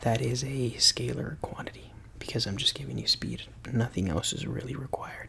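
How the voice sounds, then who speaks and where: Whispering at a fairly quick pace, a man speaks over noticeable background noise. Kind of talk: ASMR physics tutoring roleplay. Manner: soft-spoken.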